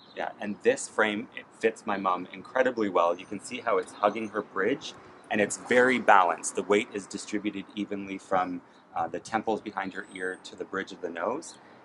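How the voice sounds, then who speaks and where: A man's fairly low voice at a moderate pace, with big swings in loudness over noticeable background noise. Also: fairly even intonation. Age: 30s. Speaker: eyewear buyer; eyewear buyer reviewing a frame. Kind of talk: product review. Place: street.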